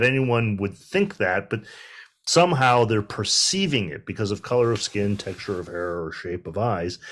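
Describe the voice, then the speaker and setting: A man speaks in a bright, sharp tone with lively intonation. The recording is very clean, the background silent. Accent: Midwestern American. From US Midwest, Detroit. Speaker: university president. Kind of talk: panel discussion.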